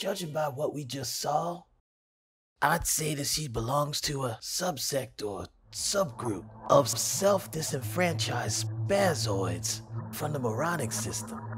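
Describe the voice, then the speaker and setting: A raspy, put-on character voice moves at a fairly slow pace with lively intonation. Faint music plays in the background. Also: man, medium pitch for a man. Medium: audio drama. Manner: lecturing, dry, sardonic.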